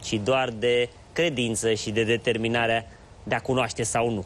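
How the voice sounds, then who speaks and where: The pace stays moderate as a man speaks. Some light noise sits behind him. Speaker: TV show host. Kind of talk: show introduction monologue. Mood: warm, reflective. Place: studio. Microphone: lapel.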